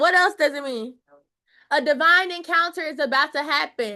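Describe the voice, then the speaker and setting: A woman speaks in a raised, projected voice with an animated, bright and sharp tone, high in pitch with ordinary pitch variation. Her pace is moderate, and her loudness swings widely. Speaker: Bible study teacher. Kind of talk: Bible study teaching.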